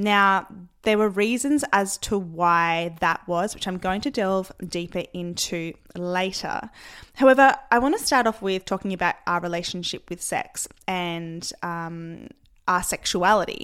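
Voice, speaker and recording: A woman has an unremarkable speaking voice and talks fairly slowly. Her pitch varies in an ordinary way, and the recording is very clean with a silent background. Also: medium pitch for a woman. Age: 30s. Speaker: fitness coach and podcast host. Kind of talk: solo podcast monologue.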